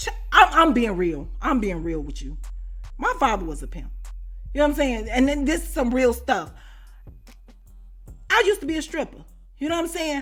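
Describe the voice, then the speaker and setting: Music plays in the background as a woman with a high pitch talks at a fairly quick pace in an animated tone, with very wide pitch swings, big swings in loudness and long, frequent pauses. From US Midwest, Chicago. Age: 40s. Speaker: YouTuber, storyteller. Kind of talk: storytime monologue. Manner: animated, conversational.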